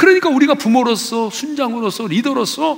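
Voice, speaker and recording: Over noticeable background noise, a man talks at a fairly quick pace with an extremely high pitch. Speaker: pastor. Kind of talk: sermon. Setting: church. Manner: animated.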